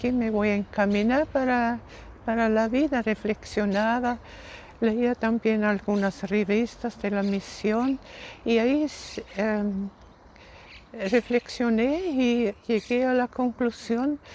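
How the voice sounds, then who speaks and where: A woman with a German accent speaks at a very slow pace and fairly high pitch. Her loudness stays very even and her intonation is fairly even. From Austria. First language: German (speaking Spanish). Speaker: missionary nun, former teacher. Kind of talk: interview.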